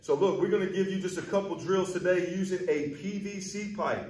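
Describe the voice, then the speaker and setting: Audible room echo surrounds a man's high-pitched voice. He talks at a moderate pace. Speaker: baseball hitting coach. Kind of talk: tutorial. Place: hall.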